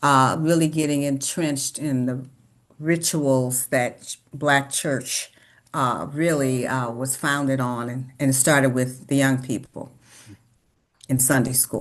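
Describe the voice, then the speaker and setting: A woman with an American accent speaks very slowly in a very deep, low voice, her intonation flat and monotone against a quiet background. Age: 70s. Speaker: longtime church member. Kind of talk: oral history interview. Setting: sit-down interview.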